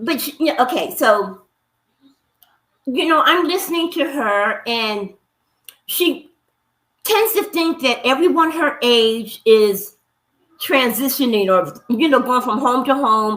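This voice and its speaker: In a raised, projected voice with a bright, sharp tone, the speaker goes very slowly, making very wide pitch swings and long, frequent pauses. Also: woman, high pitch for a woman. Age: 60s. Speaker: livestream guest, commenter. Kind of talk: casual chat.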